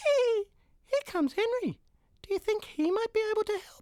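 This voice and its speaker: Extremely high-pitched and squeaky, a put-on character voice delivered at a moderate pace. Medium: read story.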